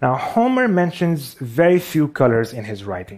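A man with a Pakistani accent speaks at a moderate pace. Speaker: visual artist and animator. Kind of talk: talk on stage. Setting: stage with audience.

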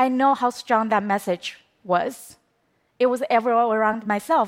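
A woman with a Chinese accent speaks at a fairly high pitch on a very clean recording with a silent background. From China. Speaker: documentary filmmaker. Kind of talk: talk to an audience. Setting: stage with audience.

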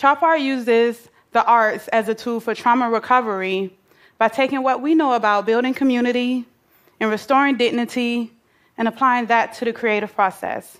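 Speaking with an American accent, a woman keeps a moderate pace and fairly even intonation in a high pitch. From US South, Atlanta, Georgia. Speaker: nonprofit founder. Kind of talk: prepared talk.

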